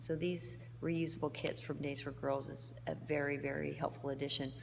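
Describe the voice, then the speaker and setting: Amid audible room echo, a soft-spoken woman keeps her loudness very even. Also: moderate pace. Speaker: humanitarian volunteer. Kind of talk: video diary. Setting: indoors in a foyer at night.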